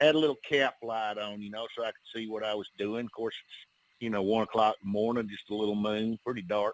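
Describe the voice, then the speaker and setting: The speaker is a man. He talks with an Alabama accent. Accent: Southern US (Alabama). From US South, northern Alabama. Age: 60s. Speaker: bigfoot investigator, outdoorsman. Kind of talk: podcast interview, personal encounter story. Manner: relaxed, conversational with many fillers.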